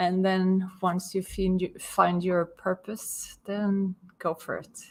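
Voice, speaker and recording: A woman's medium-pitched voice with a Swedish accent. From Sweden. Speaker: business owner and property consultant. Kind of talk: interview.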